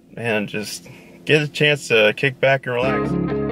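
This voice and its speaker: A man speaking at a very slow pace, faint music behind him, the sound dry with no echo. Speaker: vlogger on leave coming home. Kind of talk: casual vlog chat. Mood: excited, relaxed. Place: car. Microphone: phone near.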